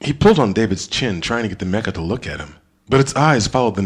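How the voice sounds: Lively intonation in a natural reading voice.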